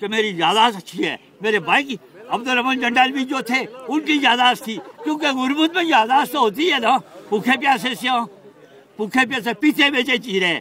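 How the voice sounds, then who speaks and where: A man speaks in a raised, projected voice at an extremely high pitch, with ordinary pitch variation and noticeable background noise. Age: 70s. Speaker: elderly audience member speaking at a conference. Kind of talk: impassioned public speech. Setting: stage at a conference. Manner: animated; halting.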